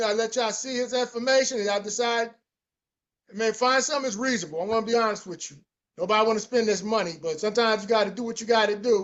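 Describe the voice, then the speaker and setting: Speaking at a very fast pace, a man uses an extremely high pitch with fairly even intonation. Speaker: sneaker restoration youtuber hosting a solo podcast. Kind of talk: casual solo podcast walkthrough of listings.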